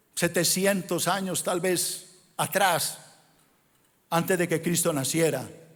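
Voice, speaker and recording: Fairly even intonation at a very slow pace. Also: man. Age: 60s. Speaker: pastor. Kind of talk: sermon. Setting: church.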